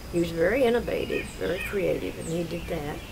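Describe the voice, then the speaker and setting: Here a woman speaks at a moderate pace. Noticeable background noise can be heard. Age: 80s+. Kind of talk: family oral history interview answer.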